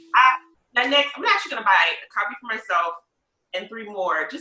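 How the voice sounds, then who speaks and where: A woman with a Lowcountry accent, very fast, with an enthusiastic tone and lively intonation. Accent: US Southern, Lowcountry. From South Carolina Lowcountry. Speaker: podcast host and realtor. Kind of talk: podcast interview.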